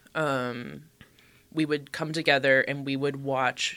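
Over noticeable background noise, a woman speaks in a very deep, low pitch with fairly even intonation. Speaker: diocesan archivist. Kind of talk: casual chat.

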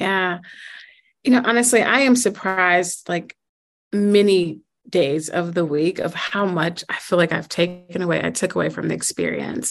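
A woman with an American accent speaks at a moderate pace in an unremarkable speaking voice, fairly low in pitch with ordinary pitch variation, against a quiet background. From US Midwest, Chicago. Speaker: school network president, former math teacher. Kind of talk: interview.

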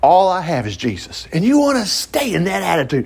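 A man speaks in a somewhat breathy voice. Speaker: Bible study teacher, minister. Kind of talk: Bible study teaching. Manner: fast; conversational, halting with fillers.

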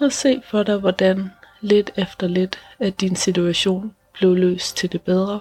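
The voice has a calm, soothing tone and moves at a very slow pace. The sound is dry and close, with no echo. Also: woman, medium pitch for a woman. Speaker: meditation guide and podcast host. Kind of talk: guided meditation. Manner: slow, calm and soothing, with long pauses between sentences; soft-spoken and gentle, reassuring.

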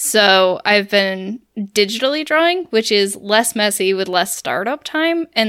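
Lively intonation and a bright, sharp tone come through on a very clean recording with a silent background. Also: woman. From United States. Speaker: podcast co-host. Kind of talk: casual chat.

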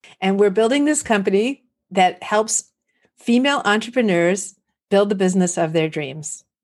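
A woman with a Californian accent and lively intonation. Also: medium pitch for a woman, moderate pace. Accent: Californian American. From US West Coast, San Fernando Valley, California. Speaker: entrepreneur, community founder. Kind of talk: interview. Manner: animated.

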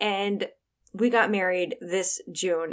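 With an unremarkable speaking voice, a woman uses ordinary pitch variation at a medium pitch. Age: 40s. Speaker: life and wellness coach, podcast host. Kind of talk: solo podcast monologue, motivational talk. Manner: warm, encouraging.

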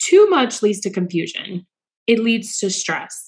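With an unremarkable speaking voice, a woman talks at a fairly slow pace and a fairly high pitch. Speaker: podcast host and physician entrepreneur. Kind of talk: solo podcast monologue.

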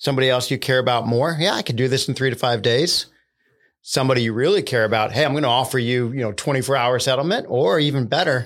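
In an American accent, a man speaks at a very fast pace and medium pitch with ordinary pitch variation and very even loudness, in a very clean recording with a silent background. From US Northeast, central Pennsylvania. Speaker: tech executive and entrepreneur. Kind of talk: casual interview.

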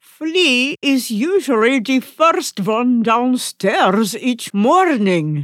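A woman uses a put-on character voice, high in pitch with very wide pitch swings. She speaks at a very slow pace with hardly any pauses. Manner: warm, gentle.

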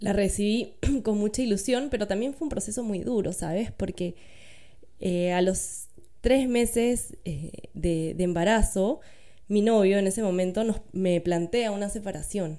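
The speaker is a woman with a dark, mellow tone. Her pace is fairly slow. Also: medium pitch for a woman, ordinary pitch variation. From Peru, Lima. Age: 30s. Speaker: doula and architect. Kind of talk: interview, personal testimony.

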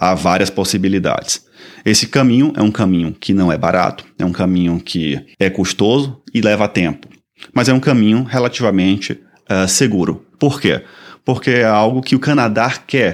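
At a moderate pace, a plain, everyday voice speaks, its pitch varying in an ordinary way. The background is silent and the recording very clean. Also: man, fairly low pitch for a man. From Brazil, Salvador, Bahia. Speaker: podcast host and immigration consultant. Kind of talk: informational podcast monologue. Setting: studio.

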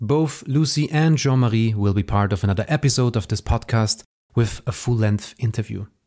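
Against a silent background in a very clean recording, a man with a German accent speaks at a moderate pace and medium pitch, with very even loudness and ordinary pitch variation. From Austria; Vorarlberg, Austria. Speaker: podcast host, photo collector and publisher. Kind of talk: scripted podcast introduction.

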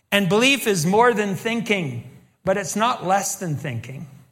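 With an American accent, a man talks at a fairly slow pace in a high pitch, his intonation lively, with audible room echo. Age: 60s. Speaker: pastor and teacher. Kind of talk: sermon.

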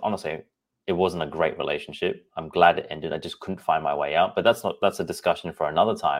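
A man speaks with an Australian accent in a very deep, low voice. The recording is very clean, with a silent background. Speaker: podcast host and personal trainer. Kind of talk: solo podcast monologue.

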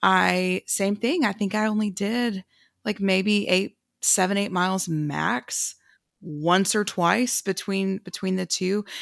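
In a very clean recording with a silent background and a dry, close sound with no echo, a woman speaks very slowly at a medium pitch with ordinary pitch variation. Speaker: runner. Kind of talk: casual chat.

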